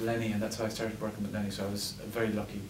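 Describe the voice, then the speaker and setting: A man with a western Irish accent, medium pitch and flat, monotone intonation, plus noticeable background noise and audible room echo. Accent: Irish (west of Ireland). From west of Ireland, Ennis, County Clare. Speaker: screenwriter and actor. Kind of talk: post-screening Q&A. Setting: cinema stage with audience. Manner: halting, repeats words.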